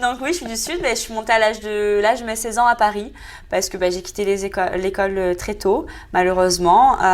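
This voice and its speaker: Her pitch is fairly high for a woman, with ordinary variation. She speaks at a fairly quick pace. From southern France.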